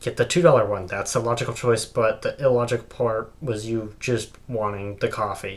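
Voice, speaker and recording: Against noticeable background noise, a man speaks at a moderate pace and a medium pitch. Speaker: vlogger. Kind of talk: opinion monologue. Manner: halting, many fillers.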